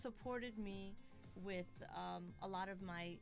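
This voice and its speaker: In a plain, everyday voice, a woman speaks at a fairly slow pace with medium pitch and ordinary pitch variation. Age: 30s. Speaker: boxer. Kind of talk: interview.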